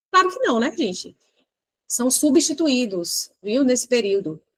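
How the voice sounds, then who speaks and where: A woman with a high-pitched voice speaks in an animated tone, the sound dry and close with no echo. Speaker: exam prep teacher. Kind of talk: lecture. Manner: fast.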